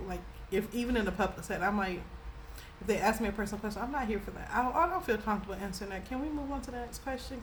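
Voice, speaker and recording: Noticeable background noise and audible room echo accompany speech delivered very fast. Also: woman. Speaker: spiritual reader and YouTuber. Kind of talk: casual storytelling monologue. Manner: animated, passionate.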